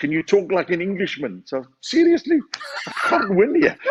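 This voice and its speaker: A man speaks with a high pitch and lively intonation. His pace is moderate. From South Africa. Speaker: comedian. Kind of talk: casual chat.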